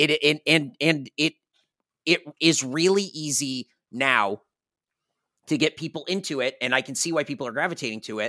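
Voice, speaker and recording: A man speaks in an American accent with lively intonation and a bright, sharp tone. The recording is very clean with a silent background and a dry, close sound with no echo. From United States. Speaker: games media content manager. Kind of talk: casual chat.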